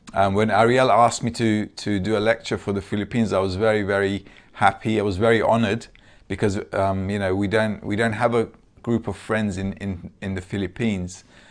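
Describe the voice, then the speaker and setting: Against a quiet background, a man talks at a fairly quick pace, his fairly low pitch held in monotone, flat intonation. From Turkey. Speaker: Kabbalah lecturer. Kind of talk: lecture. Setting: video call. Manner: halting, many filler sounds.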